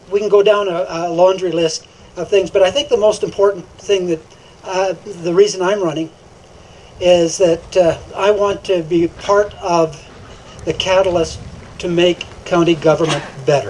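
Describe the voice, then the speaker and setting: Delivered at a moderate pace with long, frequent pauses, the speech has fairly even intonation against noticeable background noise. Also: man, high pitch for a man. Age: 60s. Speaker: political candidate. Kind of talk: candidate forum speech. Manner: halting, many fillers.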